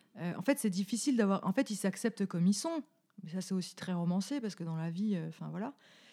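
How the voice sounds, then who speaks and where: Speaking at a very fast pace with lively intonation, a woman with a Franche-Comté accent has a medium pitch, a somewhat breathy, dark and mellow tone, and a very clean recording with a silent background. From Franche-Comté, France. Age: 30s. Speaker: podcast co-host. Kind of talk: casual chat.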